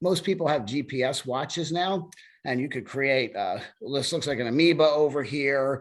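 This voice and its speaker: A man's fairly high voice at a moderate pace, an ordinary speaking voice with ordinary pitch variation. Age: 60s. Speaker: running club president. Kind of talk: webinar presentation. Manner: casual, with many fillers.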